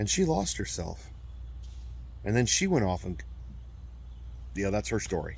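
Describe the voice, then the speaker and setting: Audible room echo surrounds a man who speaks at a moderate pace with long, frequent pauses. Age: 40s. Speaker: abuse survivor and video blogger. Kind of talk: personal testimony monologue. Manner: halting.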